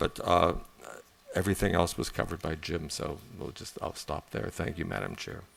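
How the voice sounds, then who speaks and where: A man speaks at a moderate pace in a very deep, low voice with ordinary pitch variation. Noticeable background noise runs under him. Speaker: college board trustee. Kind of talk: board meeting report.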